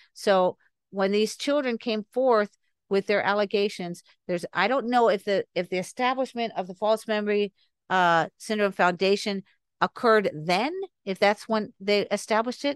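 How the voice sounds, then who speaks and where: A woman with an unremarkable speaking voice talks at a moderate pace, medium in pitch with ordinary pitch variation, in a dry, close sound with no echo over a quiet background. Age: 60s. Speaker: podcast guest on recovered memories. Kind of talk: interview.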